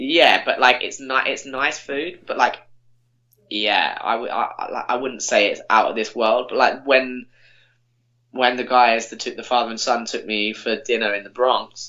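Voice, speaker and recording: Speaking in an English accent is a man. He keeps a moderate pace. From England. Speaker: podcast guest, former summer camp worker. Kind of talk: casual chat. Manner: halting.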